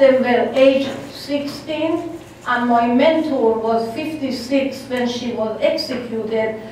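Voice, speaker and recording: Amid audible room echo and noticeable background noise, a woman with a high-pitched voice speaks at a very slow pace. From Iran (Ardestan). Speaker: guest speaker, human rights campaigner. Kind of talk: public talk.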